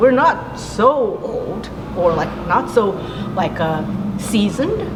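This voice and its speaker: Through noticeable background noise and audible room echo, a woman with a Japanese accent speaks at a medium pitch. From Japan (Kobe). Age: 30s. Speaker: jazz pianist. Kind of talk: interview. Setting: outdoor jazz festival. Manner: casual, halting with many fillers.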